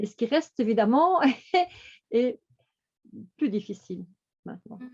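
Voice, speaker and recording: A woman speaks fairly slowly with lively intonation. Her pitch is fairly high. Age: 60s. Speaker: coaching client giving testimony. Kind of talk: testimony. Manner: halting, many repetitions and hesitations.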